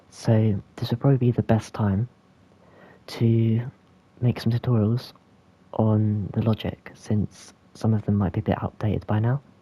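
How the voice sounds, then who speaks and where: A man speaks at a medium pitch in a somewhat breathy voice with a dark, mellow tone. The recording is very clean with a silent background and a dry, close sound with no echo. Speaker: game tutorial creator. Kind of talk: software tutorial narration. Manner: casual, hesitant.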